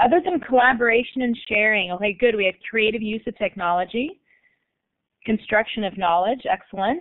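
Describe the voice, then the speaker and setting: A woman with an American accent uses an ordinary speaking voice, fairly high in pitch, at a fairly quick pace with ordinary pitch variation. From United States. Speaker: learning technology coordinator and consultant. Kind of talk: online guest presentation / webinar.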